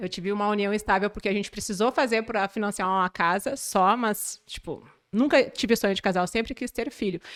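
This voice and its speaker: At a fairly quick pace with hardly any pauses, a woman speaks in a medium pitch with ordinary pitch variation, on a very clean recording with a silent background. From southern Brazil, Porto Alegre area. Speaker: manicure. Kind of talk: podcast interview.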